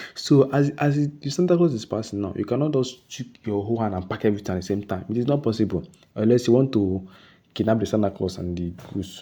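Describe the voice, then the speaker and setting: Against a quiet background, a man with a dark, mellow tone and medium pitch talks at a very fast pace with lively intonation. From Nigeria. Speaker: trading educator. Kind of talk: tutorial. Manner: repetitive, self-correcting.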